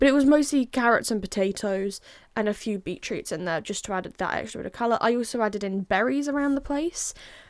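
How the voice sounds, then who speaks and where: In an English accent, a woman speaks very fast at a fairly high pitch with lively intonation. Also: very clean recording, silent background. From England. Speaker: Minecraft content creator. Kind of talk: casual gameplay commentary. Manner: casual, rambling.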